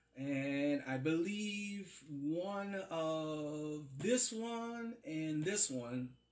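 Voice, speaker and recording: Speaking very slowly, a man uses lively intonation. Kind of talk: casual unboxing chat. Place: home room. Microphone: phone near.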